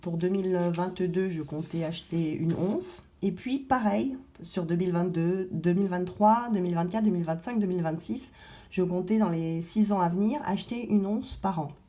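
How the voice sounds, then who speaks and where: At a medium pitch and moderate pace, a woman speaks with ordinary pitch variation amid audible room echo. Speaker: gold investing vlogger. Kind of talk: casual vlog. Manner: halting, many fillers.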